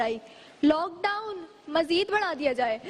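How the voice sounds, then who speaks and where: A woman speaks with an extremely high pitch in an animated, theatrical tone. Noticeable background noise sits behind her. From Karachi, Pakistan. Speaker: speech contestant. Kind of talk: humorous speech contest declamation. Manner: animated, theatrical, comedic delivery.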